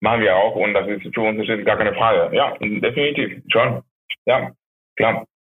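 A man talks with a Spanish accent. His pace is moderate. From Venezuela, Maracaibo. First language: Spanish (speaking German). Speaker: restaurant owner. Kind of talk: phone interview. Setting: phone call. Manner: halting.

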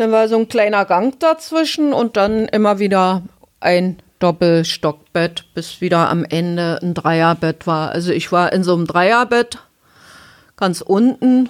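A woman with a plain, everyday voice speaks at a fairly slow pace. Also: medium pitch for a woman, lively intonation. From eastern Germany, Halle (Saxony-Anhalt). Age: 50s. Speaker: former punk singer. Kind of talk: interview. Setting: studio.

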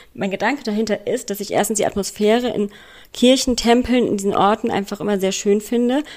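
A woman races along very fast, her fairly high voice keeping a fairly even intonation. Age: 30s. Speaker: escort. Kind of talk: recorded voice message.

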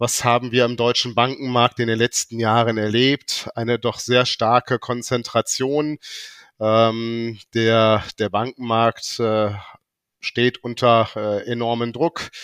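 In a very clean recording with a silent background, a man speaks very slowly in a monotone, flat intonation, the sound dry and close with no echo. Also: medium pitch for a man. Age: 50s. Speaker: bank executive. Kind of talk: corporate interview. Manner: hesitant with filler sounds.

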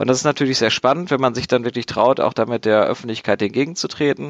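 The sound is dry and close, with no echo, as a man speaks in an ordinary speaking voice. His pitch is medium, with ordinary pitch variation. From Dortmund, Germany. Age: 20s. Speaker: board game designer. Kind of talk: casual chat.

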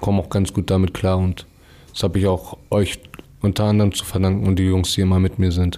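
A man talks in a very deep, low pitch with a dark, mellow tone. His intonation is monotone and flat, at a moderate pace. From Hamburg, Germany. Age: 20s. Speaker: paraplegic accident survivor. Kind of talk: casual chat.

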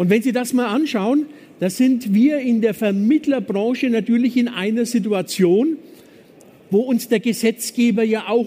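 A man with a Franconian accent speaks at an extremely high pitch in a dark, mellow tone, with ordinary pitch variation. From Franconia, Germany (Nuremberg). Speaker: business consultant. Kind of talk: conference talk. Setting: stage with audience.

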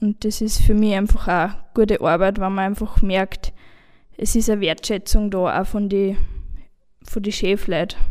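Fairly slow and monotone, a woman talks in a flat voice broken by long, frequent pauses. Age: 20s. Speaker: carpentry apprentice. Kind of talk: panel discussion.

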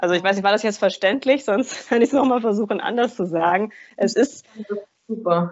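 In a plain, everyday voice, the speaker moves at a fairly quick pace with ordinary pitch variation. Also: woman, fairly high pitch for a woman. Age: 40s. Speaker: energy healer and coach. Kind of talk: interview.

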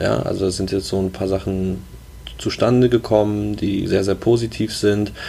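Dark and mellow in tone, a man's voice sits at a fairly low pitch. He is somewhat breathy and keeps a moderate pace. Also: ordinary pitch variation. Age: 20s. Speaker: startup co-founder. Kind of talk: interview.

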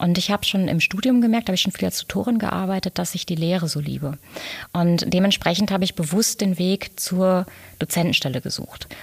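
Somewhat breathy, a woman talks at a medium pitch. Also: ordinary pitch variation, fairly quick pace. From Ruhr area, Germany (Dortmund, Lünen). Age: 40s. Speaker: business coach and designer. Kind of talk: interview.

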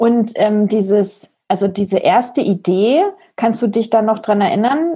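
The delivery is fairly slow and somewhat breathy. Pitch varies in an ordinary way. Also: woman. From village near Braunschweig, Germany. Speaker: podcast host. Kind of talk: podcast interview.

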